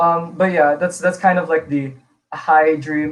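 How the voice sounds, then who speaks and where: A man talks at a high pitch in an American accent. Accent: sounds American, even in Filipino. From Philippines, from age eight; born in Illinois, US. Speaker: singer and songwriter. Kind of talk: live-streamed interview. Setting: live stream.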